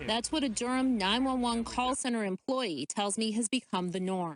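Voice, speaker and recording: With an American accent, a woman uses a plain, everyday voice at a fairly high pitch and moderate pace, with ordinary pitch variation and very even loudness, in a dry, close sound with no echo. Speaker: TV news reporter. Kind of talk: broadcast news reporting. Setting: live report from location, answering anchors.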